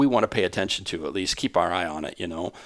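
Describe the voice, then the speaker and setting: A man with an Upper Midwest accent at a very fast pace. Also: very clean recording, silent background. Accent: Upper Midwest American. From Iowa, US Midwest. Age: 50s. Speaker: sports association administrator. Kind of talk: interview. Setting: association office building, not studio.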